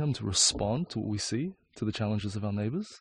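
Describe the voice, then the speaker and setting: The background is quiet as a man speaks. His voice is fairly low in pitch and somewhat breathy. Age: 20s. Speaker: architect and designer. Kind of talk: interview. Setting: in a camper van.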